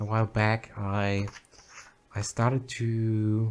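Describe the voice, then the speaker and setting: A man with a German accent speaks at a fairly low pitch. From Germany. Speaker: video game streamer. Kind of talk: casual livestream commentary. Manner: halting, many fillers and repetitions.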